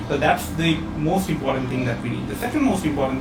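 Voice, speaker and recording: A fairly high-pitched man with audible room echo and noticeable background noise. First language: not English. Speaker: online training program presenter. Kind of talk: webinar presentation. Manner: hesitant, many fillers and repetitions.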